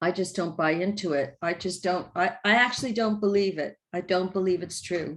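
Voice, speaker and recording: Speaking with an American accent, a woman keeps a moderate pace with hardly any pauses, her medium pitch showing ordinary variation. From United States. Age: 60s. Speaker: coach and trainer. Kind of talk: online workshop presentation.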